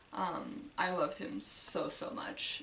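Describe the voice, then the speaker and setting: Noticeable background noise and audible room echo around a woman with a medium pitch. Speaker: model horse collector vlogger. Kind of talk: casual collection tour. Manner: hesitant with many fillers.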